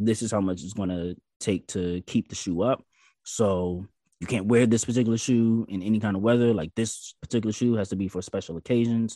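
Over a quiet background, a man with an American accent talks at a fairly quick pace in a dark, mellow tone. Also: fairly low pitch for a man, fairly even intonation, dry, close sound with no echo. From US South. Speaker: podcast guest. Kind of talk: casual chat.

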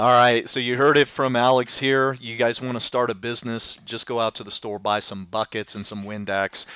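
A man with a plain, everyday voice speaks at a medium pitch and a moderate pace. His intonation is fairly even, with hardly any pauses. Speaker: podcast host. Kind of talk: casual interview.

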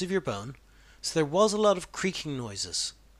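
A man with an Irish accent, high in pitch, bright and sharp in tone, with lively intonation at a moderate pace, on a very clean recording with a silent background. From Ireland. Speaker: podcaster sharing personal cancer experience. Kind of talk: personal narration.

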